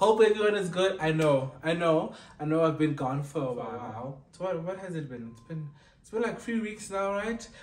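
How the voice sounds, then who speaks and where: A man at a moderate pace, with big swings in loudness and audible room echo. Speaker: vlogger. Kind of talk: casual vlog chat. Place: home room. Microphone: camera far.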